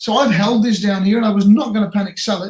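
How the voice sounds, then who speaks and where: Speaking very fast, a man uses an Australian accent. His pitch is high. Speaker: crypto trading streamer. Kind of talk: live stream chart analysis. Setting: live stream. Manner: casual, filler-heavy.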